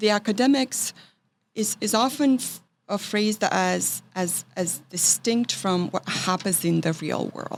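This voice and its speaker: Speaking at a moderate pace, a woman with a Romanian accent uses a medium pitch and ordinary pitch variation. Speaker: writing professor. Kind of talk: interview conversation. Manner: halting, many fillers.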